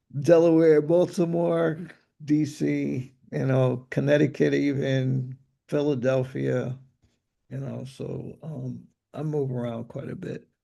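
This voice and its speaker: A man's medium-pitched voice in a dark, mellow tone, very slow, with ordinary pitch variation and big swings in loudness. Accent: slight New York. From New York. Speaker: music producer and Ableton teacher. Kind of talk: live Q&A chat.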